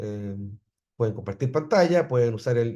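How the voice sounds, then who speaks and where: Here a man speaks at medium pitch with a dark, mellow tone and a somewhat breathy quality. His pace is fairly quick, with ordinary pitch variation. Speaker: university professor. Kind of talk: lecture. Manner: halting.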